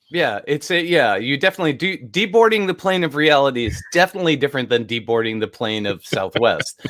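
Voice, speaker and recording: A man with an American accent, fairly high pitch and very wide pitch swings, talking at a very fast pace with hardly any pauses, against noticeable background noise. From New York. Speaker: podcast host. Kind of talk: casual interview chat. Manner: animated.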